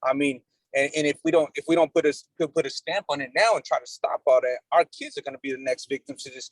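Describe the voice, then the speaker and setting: A man talks at a very fast pace in an animated tone, with a dry, close sound and no echo. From Mexico. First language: Spanish. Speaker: nonprofit executive director, outreach worker. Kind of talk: community meeting discussion. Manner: animated, repetitive with false starts.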